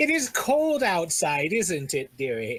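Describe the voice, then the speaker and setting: Creaky and pitched in the middle, a put-on character voice makes very wide pitch swings at a fairly slow pace. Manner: ominous, warning.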